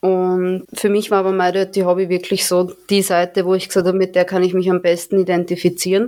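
Fairly quickly and with hardly any pauses, a woman speaks in monotone, flat intonation at a very even loudness. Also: medium pitch for a woman. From Austria, Vienna. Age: 20s. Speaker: amateur adult performer. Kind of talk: interview.

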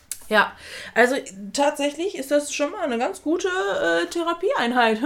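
A woman speaks in a high pitch, her voice making very wide pitch swings. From outside Germany. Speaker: podcast co-host. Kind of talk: casual chat. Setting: same room, no window.

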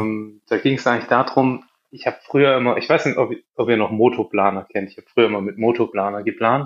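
With a Swabian accent, a man speaks at a medium pitch and with fairly even intonation. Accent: Swabian, audible. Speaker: app developer, co-founder. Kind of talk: casual interview chat.

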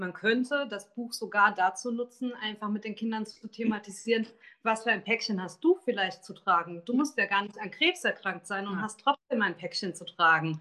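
Her voice sits fairly high, with a bright, sharp tone, ordinary pitch variation and a moderate pace. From Taunus, Hesse. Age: 40s. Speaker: author. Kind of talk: interview.

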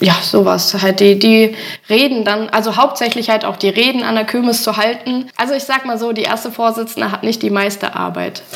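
A woman speaks in a fairly high, flat monotone over noticeable background noise. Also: moderate pace. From Holtensen, Germany. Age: 30s. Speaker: village club chairwoman. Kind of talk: casual interview.

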